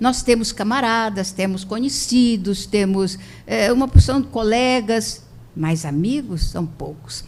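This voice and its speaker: A woman's fairly high, somewhat breathy voice with lively intonation, very slow pace and audible room echo. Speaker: spiritist lecturer. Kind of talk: lecture.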